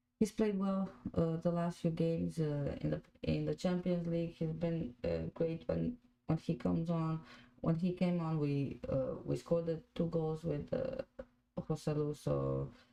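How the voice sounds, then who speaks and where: This woman speaks in a Croatian accent at a fairly slow pace, her fairly low voice dark and mellow. Her loudness stays very even, and her pitch varies in an ordinary way. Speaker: football fan podcast host. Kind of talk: live watch-along chat. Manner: halting, many fillers.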